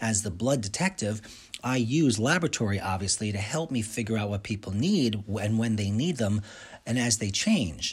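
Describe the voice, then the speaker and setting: The man's voice is fairly low and somewhat breathy. He speaks at a moderate pace with ordinary pitch variation. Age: 50s. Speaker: radio host and nutritionist. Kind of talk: monologue radio show. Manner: animated.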